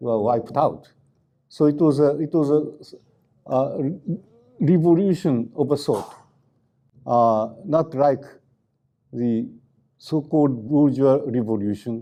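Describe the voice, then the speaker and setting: In a Japanese accent, a man with a dark, mellow tone speaks at a very slow pace and uses ordinary pitch variation. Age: 80s+. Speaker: activist scholar. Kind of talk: lecture. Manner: halting, many fillers.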